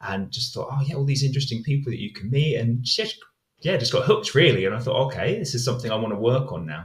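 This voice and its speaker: A man with a British accent talks at a very fast pace and medium pitch, his intonation lively. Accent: English (UK). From southern England, Hampshire. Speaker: English teacher. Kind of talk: podcast interview.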